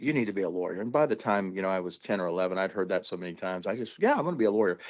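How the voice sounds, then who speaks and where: An American-accented man talks at a very fast pace with a fairly low pitch and ordinary pitch variation. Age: 60s. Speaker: trial attorney. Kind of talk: podcast interview.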